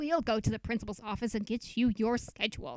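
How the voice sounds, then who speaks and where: A woman's put-on character voice, fairly high in pitch and at a fairly quick pace. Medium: read story. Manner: bossy, scolding.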